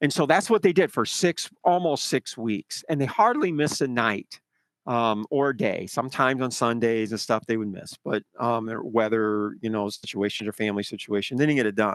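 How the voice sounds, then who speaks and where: A man with an ordinary speaking voice talks at a moderate pace in a medium pitch, with lively intonation, hardly any pauses, and a dry, close sound with no echo. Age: 60s. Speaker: mineral fertilizer sales rep and researcher. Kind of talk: conference call presentation. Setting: Zoom conference call. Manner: rambling with many fillers.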